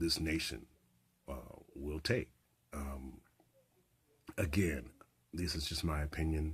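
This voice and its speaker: Somewhat breathy, the speech unfolds at a very slow pace with long, frequent pauses. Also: man, very deep, low pitch for a man, ordinary pitch variation. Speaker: community radio host. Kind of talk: radio host opening monologue with political commentary. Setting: radio studio broadcast.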